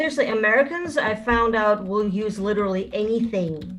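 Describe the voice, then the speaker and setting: There is noticeable background noise behind this woman. Her pitch is fairly high and her intonation lively. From Russia. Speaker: stand-up comedian. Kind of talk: stand-up.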